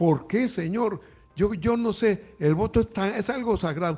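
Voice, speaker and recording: A man's voice sits high in pitch, with a dark, mellow tone and ordinary pitch variation. The recording is very clean, with a silent background. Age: 80s+. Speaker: radio commentator. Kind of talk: political commentary.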